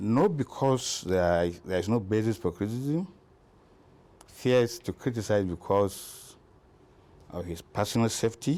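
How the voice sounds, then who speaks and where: Using long, frequent pauses, a man speaks at a fairly slow pace and fairly low pitch, with lively intonation and a dark, mellow tone. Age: 60s. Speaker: politician. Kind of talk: interview.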